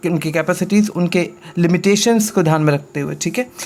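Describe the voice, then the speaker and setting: A high-pitched man with fairly even intonation. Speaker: teacher. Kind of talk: lecture. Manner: halting, many fillers.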